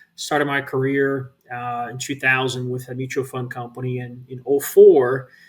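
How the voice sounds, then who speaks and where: In a Brazilian accent, the speaker delivers flat, monotone intonation on a very clean recording with a silent background. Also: man. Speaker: real estate investment executive. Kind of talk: interview conversation.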